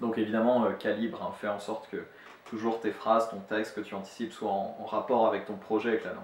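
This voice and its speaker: Over noticeable background noise, a man speaks at a very fast pace in a fairly low pitch with fairly even intonation. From France. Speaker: language teacher. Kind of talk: tutorial. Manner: halting, many fillers.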